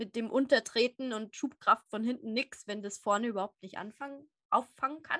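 A woman speaks at a fairly quick pace, in an unremarkable speaking voice with a fairly high pitch and ordinary pitch variation. The sound is dry and close with no echo, over a quiet background. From Upper Bavaria, Germany. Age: 20s. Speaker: animal therapist and platform founder. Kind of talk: casual interview.

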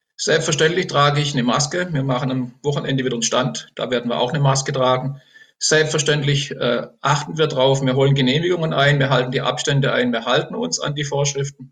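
A man talks fairly quickly in an ordinary speaking voice. His pitch sits fairly high and varies in an ordinary way. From Baden, Germany (Enzkreis near Pforzheim). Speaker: politician, retired teacher. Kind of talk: election interview. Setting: video call.

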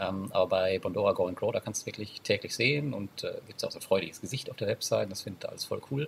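Barely pausing at all, the man speaks very fast. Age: 30s. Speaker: online entrepreneur and finance blogger. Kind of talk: casual interview.

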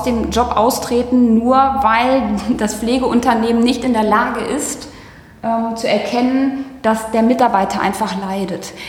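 A woman with a fairly high pitch speaks very slowly with ordinary pitch variation. Noticeable background noise and audible room echo surround her voice. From Germany, Hagen-Hohenlimburg (Ruhr/Westphalia). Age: 30s. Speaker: care sector business founder. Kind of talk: casual interview. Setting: office.

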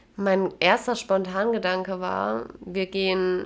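A woman speaks over noticeable background noise. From Jena, Thuringia, Germany. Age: 20s. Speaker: lab worker. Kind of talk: casual chat. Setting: host's home.

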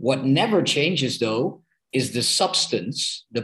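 A fairly slow pace in a Dutch accent. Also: man. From Amsterdam, Netherlands. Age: 30s. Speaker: politician, party co-president. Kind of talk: podcast interview. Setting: video call.

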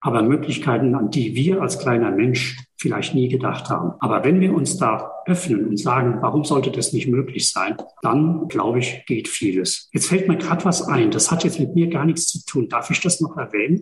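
With lively intonation and a fairly high pitch, a man talks at a moderate pace with very even loudness and hardly any pauses. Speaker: energy work practitioner. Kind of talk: podcast interview.

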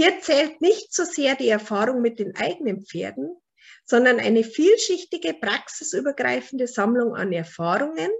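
A woman with a Bavarian accent speaks at a fairly high pitch. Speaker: animal naturopath and author. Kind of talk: book presentation lecture. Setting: online video call.

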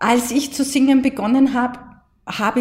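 Speaking in an Austrian accent, a woman uses a high pitch and a moderate pace. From Austria, Mostviertel. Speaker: voice coach. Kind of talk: interview.

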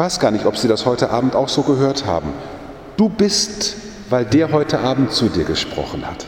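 The voice swings very widely in pitch at a moderate pace, with noticeable background noise and audible room echo. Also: man, fairly high pitch for a man. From Germany, Münsterland. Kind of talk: sermon. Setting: church.

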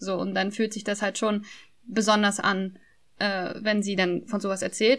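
With a bright, sharp tone and a fairly high pitch, a woman speaks at a moderate pace against a quiet background. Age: 20s. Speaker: podcaster. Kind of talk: casual chat.

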